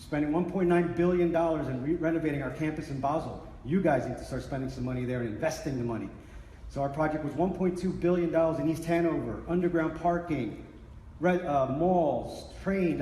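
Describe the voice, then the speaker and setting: Audible room echo surrounds a man talking at a fairly quick pace in a fairly high pitch with ordinary pitch variation. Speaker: workplace change management consultant. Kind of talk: conference presentation. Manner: fast; animated.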